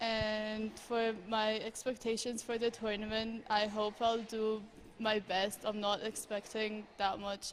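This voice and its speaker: A woman's fairly high, flat, monotone voice at a fairly slow pace, with noticeable background noise. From Egypt. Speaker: professional squash player. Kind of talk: interview.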